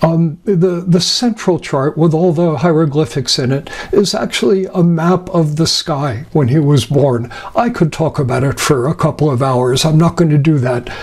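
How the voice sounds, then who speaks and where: Moderate pace and very even loudness over noticeable background noise. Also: man, fairly high pitch for a man, ordinary pitch variation. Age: 70s. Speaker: astrologer. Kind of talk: lecture. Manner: halting.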